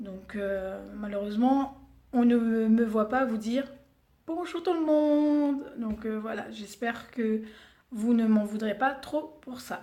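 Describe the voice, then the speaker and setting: A woman with a Réunion accent speaks very slowly in a dark, mellow tone at a fairly high pitch. Her loudness swings widely while her pitch varies in an ordinary way. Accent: Réunion Creole. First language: Réunion Creole (speaking French). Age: 30s. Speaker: beauty vlogger. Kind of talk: casual vlog introduction. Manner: hesitant, many fillers.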